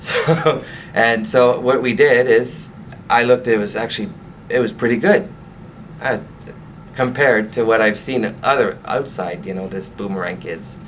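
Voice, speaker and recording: A man with a Quebec accent talks at medium pitch and a moderate pace, leaving long, frequent pauses. Audible room echo surrounds his voice. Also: lively intonation. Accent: French Canadian accent in English. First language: French. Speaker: franchise owner. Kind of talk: interview. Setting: on camera interview. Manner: halting.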